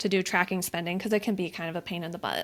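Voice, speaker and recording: Vocal fry runs through this voice on a very clean recording with a silent background. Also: woman. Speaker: finance habit coach. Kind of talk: interview. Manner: formal, corporate-sounding.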